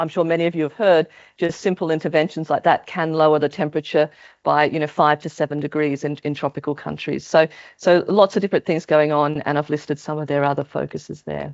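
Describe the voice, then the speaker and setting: In an Australian accent, a woman speaks at a very fast pace with a very deep, low pitch. Her intonation is monotone and flat. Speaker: maternal health researcher. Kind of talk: conference talk. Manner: hesitant, many fillers.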